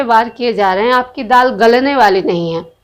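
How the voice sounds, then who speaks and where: In a very clean recording with a silent background, a woman with a Bihari accent speaks in a high pitch with lively intonation. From Bihar, India. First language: Bhojpuri (speaking Hindi). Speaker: political commentator, video blogger. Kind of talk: opinion monologue. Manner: animated.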